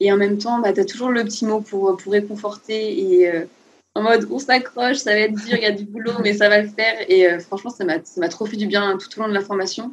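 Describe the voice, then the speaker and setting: A woman of medium pitch talks at a fairly quick pace. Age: 20s. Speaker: nurse turned self-taught illustrator. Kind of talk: interview. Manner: enthusiastic, with frequent laughs.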